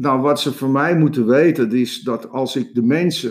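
Pitch moves with ordinary variation. The delivery comes at a very slow pace. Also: man. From Amsterdam, Jordaan. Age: 70s. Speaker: coach and entrepreneur. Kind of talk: interview. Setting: studio. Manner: halting.

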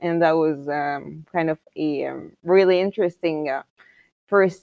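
This woman speaks in an Arabic accent with ordinary pitch variation. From Egypt. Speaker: architect and graduate student. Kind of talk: interview answers.

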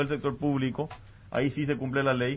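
Speaking at a fairly quick pace, a man with a plain, everyday voice uses fairly even intonation at a fairly high pitch. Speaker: business advocate. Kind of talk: debate.

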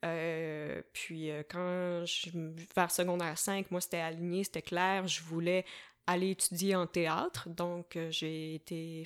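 In a very clean recording with a silent background, a woman with a Quebec accent speaks very slowly at a fairly low pitch. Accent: Québécois French. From Quebec, south shore of Montreal (Varennes). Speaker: slam poet and musician. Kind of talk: casual interview conversation. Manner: animated, frequent laughter.

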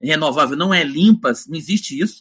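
A man with a high pitch speaks in a raised, projected voice with a bright, sharp tone and very wide pitch swings. His moderate pace comes through on a very clean recording with a silent background. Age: 50s. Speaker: professor, energy researcher. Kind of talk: interview. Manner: animated.

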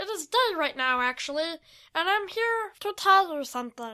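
Doing a put-on character voice, a woman sounds squeaky and bright, sharp in tone, at an extremely high pitch, with lively intonation and a moderate pace.

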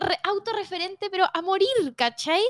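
A woman's extremely high voice with a Chilean accent, ordinary pitch variation, a fairly quick pace, and a dry, close sound with no echo. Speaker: facial yoga instructor and influencer. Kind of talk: casual chat.

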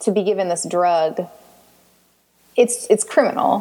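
Moderate pace from a woman in an American accent. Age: 20s. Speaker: patient sharing illness story. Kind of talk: interview.

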